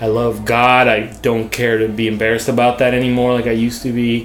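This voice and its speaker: Music plays behind a man speaking. He talks fairly quickly at a medium pitch. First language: not English. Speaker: art director. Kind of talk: casual chat. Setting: bar booth recording with drinks.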